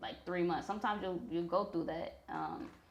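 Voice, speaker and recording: A woman speaks in a fairly low voice with an American accent, her pitch varying in an ordinary way. There is audible echo in the room. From Missouri, US Midwest. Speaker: rapper and songwriter. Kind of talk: interview.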